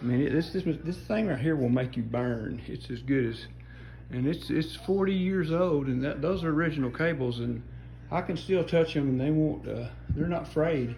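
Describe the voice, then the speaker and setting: The voice is somewhat breathy, and the room echo is audible. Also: man. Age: 60s. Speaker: hobbyist showing his home gym. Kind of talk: casual show-and-tell. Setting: home gym. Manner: casual, halting with fillers.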